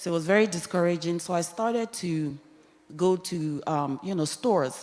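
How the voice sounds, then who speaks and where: A woman's fairly low voice with ordinary pitch variation, over noticeable background noise. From Nigeria. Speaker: church panel guest. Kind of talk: testimony.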